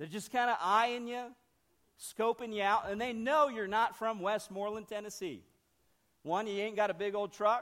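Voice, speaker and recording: With a northern Ohio accent, a man speaks at a moderate pace in a high pitch, his tone bright and sharp and his intonation fairly even. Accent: Midwestern US (northern Ohio). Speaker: missionary. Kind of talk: sermon. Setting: church.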